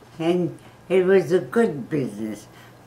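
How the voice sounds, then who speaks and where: A woman talks very slowly with lively intonation. There is noticeable background noise. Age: 90s. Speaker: grandmother giving advice. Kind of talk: casual interview answer.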